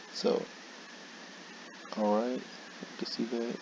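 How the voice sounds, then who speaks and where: Over noticeable background noise, a man speaks in a monotone with flat intonation. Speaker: gaming YouTuber. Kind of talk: casual gaming commentary.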